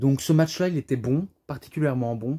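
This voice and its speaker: In a very clean recording with a silent background, a man speaks fairly slowly in a dark, mellow, somewhat breathy tone. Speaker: wrestling DVD reviewer. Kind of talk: casual video review monologue. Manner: hesitant, many fillers.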